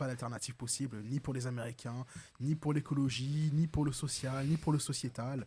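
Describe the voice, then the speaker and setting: Somewhat breathy and dark and mellow in tone, a man talks at a medium pitch and moderate pace with fairly even intonation. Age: 20s. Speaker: young political activist. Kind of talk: political debate. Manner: hesitant, many fillers.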